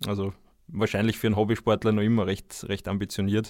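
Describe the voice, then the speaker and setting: On a very clean recording with a silent background, a man talks very fast in a fairly low pitch. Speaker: ultracyclist and author. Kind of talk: casual chat.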